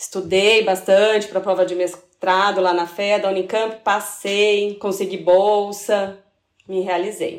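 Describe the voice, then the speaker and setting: The speaker is a woman. Her pitch is in the medium range. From São Paulo city, Brazil. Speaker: sales manager, food engineer. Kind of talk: casual interview.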